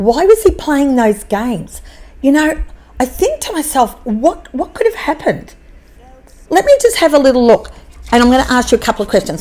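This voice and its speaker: Using an animated tone and very wide pitch swings, a woman with an Australian accent speaks at a high pitch and a moderate pace. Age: 60s. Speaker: podcaster. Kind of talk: casual chat.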